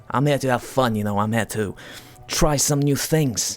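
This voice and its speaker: A voice with lively intonation plays over music in the background. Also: man. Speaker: game streamer. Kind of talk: casual let's-play commentary. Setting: live stream. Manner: hesitant, many fillers.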